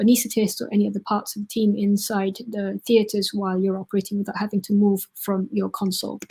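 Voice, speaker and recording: A woman speaks very fast at a medium pitch, somewhat breathy. Her intonation is flat and monotone. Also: very clean recording, silent background. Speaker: surgeon. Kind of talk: lecture. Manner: halting, many fillers.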